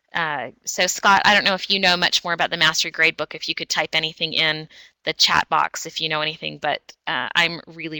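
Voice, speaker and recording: Her very deep, low voice has a bright, sharp tone, and the woman moves at a fairly quick pace with fairly even intonation. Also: dry, close sound with no echo. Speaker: educational technology trainer. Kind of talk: webinar presentation. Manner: fast.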